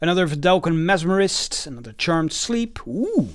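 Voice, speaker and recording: Someone with a non-native accent speaks in a very clean recording with a silent background. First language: not English. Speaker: card game YouTuber. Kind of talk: product unboxing and card reading. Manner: halting, many fillers.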